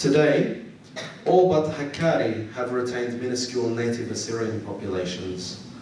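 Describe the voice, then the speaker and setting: A man with an Australian accent talks at a medium pitch and a moderate pace. Noticeable background noise and audible room echo come through in the recording. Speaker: historian lecturer. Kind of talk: lecture.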